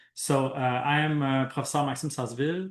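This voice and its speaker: Against a quiet background, a man speaks in a Quebec accent. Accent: French-Canadian accent in English. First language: French. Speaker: professor and researcher. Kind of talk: academic presentation. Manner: hesitant, many fillers.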